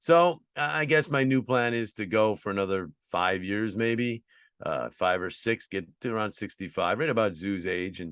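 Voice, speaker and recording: A man with an ordinary speaking voice talks at a fairly low pitch and a moderate pace. His intonation is lively, and the background is quiet. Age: 50s. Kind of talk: podcast interview.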